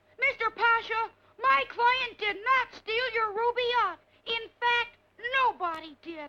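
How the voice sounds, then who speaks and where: A cartoonish character voice at an extremely high pitch. It moves at a fairly slow pace. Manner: earnest, bright.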